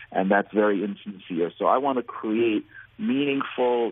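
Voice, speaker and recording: This man has a plain, everyday voice at medium pitch, with an American accent, ordinary pitch variation, and a moderate pace. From US. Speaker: nonprofit founder. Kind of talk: interview. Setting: phone call.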